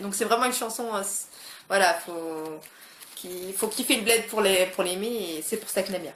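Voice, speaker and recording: Her medium pitch showing ordinary variation, a woman talks at a moderate pace amid noticeable background noise and audible room echo. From France, of Moroccan descent. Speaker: YouTuber. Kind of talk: casual vlog chat. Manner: hesitant, many fillers.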